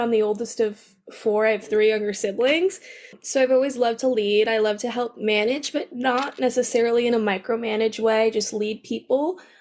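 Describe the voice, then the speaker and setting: In a plain, everyday voice, a woman with an American accent speaks at a moderate pace with a fairly high pitch and ordinary pitch variation on a very clean recording with a silent background. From New York. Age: 20s. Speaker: student newspaper editor. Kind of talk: interview. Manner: casual, many fillers.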